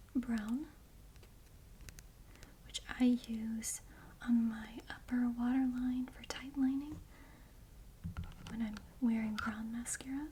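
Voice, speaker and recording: Soft-spoken and high-pitched, a woman talks at a very slow pace with monotone, flat intonation, long, frequent pauses and big swings in loudness against noticeable background noise. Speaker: ASMR creator. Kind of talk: ASMR makeup bag tour.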